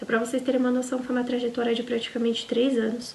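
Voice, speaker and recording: Talking fairly quickly, a woman uses a high voice. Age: 20s. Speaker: au pair vlogger. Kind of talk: casual personal vlog storytelling.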